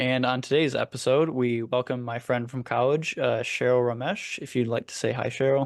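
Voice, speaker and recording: A man with an American accent speaks at a moderate pace in a plain, everyday voice, his medium pitch and fairly even intonation carrying over a quiet background with hardly any pauses. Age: 20s. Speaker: podcast host. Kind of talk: casual podcast discussion.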